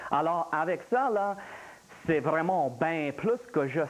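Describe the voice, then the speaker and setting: A man's high-pitched voice over music in the background. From Louisiana. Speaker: meteorologist. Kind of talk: live TV explanation.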